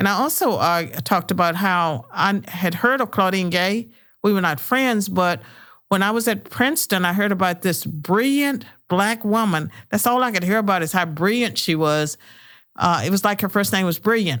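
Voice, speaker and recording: The speaker has a Southern US accent and lively intonation, keeping a moderate pace. Loudness stays very even on a very clean recording with a silent background. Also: woman, medium pitch for a woman. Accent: Southern American. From US South, rural southwestern Virginia. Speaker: retired professor and author. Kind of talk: podcast interview. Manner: hesitant, many fillers.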